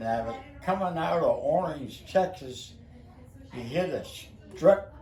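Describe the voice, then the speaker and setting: With an American accent and lively intonation, a man talks at a fairly slow pace amid audible room echo and noticeable background noise. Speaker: family elder telling stories. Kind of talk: casual chat.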